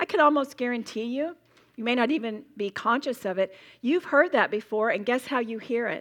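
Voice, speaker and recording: The tone is animated, in a Southern US accent. The pace is fairly quick. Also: woman, high pitch for a woman, ordinary pitch variation. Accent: US South. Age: 60s. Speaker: Bible teacher. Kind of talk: sermon. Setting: stage with audience.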